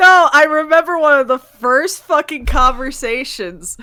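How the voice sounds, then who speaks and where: A raised, projected voice in an American accent, bright and sharp in tone, with lively intonation at a fairly slow pace. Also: woman. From New York. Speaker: podcast co-host. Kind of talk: casual chat.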